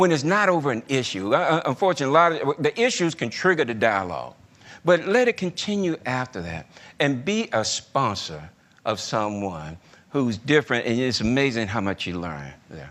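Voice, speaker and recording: This voice swings very widely in pitch and carries a strong Southern US accent. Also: man, medium pitch for a man, moderate pace. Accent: heavy Southern US. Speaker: retired corporate executive. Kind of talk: leadership talk. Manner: conversational.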